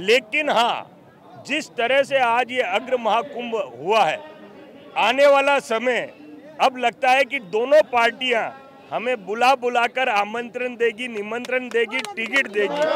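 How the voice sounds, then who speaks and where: A man with an extremely high pitch talks with ordinary pitch variation against noticeable background noise. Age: 60s. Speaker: community leader. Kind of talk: interview. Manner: emphatic.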